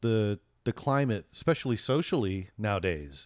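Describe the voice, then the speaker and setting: A man's normal speaking voice at medium pitch, with ordinary pitch variation, a moderate pace and a dry, close sound with no echo. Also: very clean recording, silent background. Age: 50s. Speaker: podcast co-host and guitarist. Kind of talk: casual chat.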